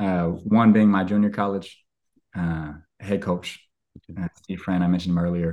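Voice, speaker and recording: An unremarkable speaking voice is heard. The recording is very clean, with a silent background. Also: man. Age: 30s. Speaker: former baseball player, coach and speaker. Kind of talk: casual chat.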